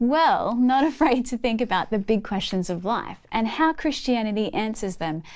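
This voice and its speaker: Speaking with an Australian accent, a woman uses a fairly high pitch and lively intonation at a moderate pace, with hardly any pauses. The recording is very clean, with a silent background. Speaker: church leader, course presenter. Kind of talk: scripted course presentation.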